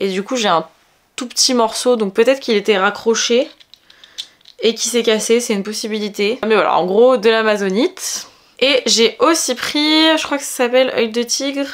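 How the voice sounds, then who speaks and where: Fairly high in pitch, a woman talks at a moderate pace with ordinary pitch variation. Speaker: beauty vlogger. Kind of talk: casual vlog. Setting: at home.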